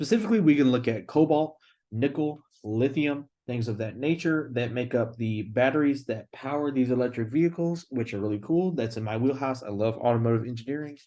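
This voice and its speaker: A man speaks at a fairly quick pace in a dark, mellow tone against a quiet background. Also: medium pitch for a man, ordinary pitch variation. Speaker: engineering student. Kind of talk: class presentation. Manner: casual.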